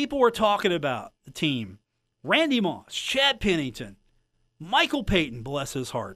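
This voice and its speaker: A man speaks fairly slowly in a high, bright, sharp voice with very wide pitch swings and big swings in loudness. The recording is very clean, with a silent background. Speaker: sports radio host. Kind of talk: radio sports talk show.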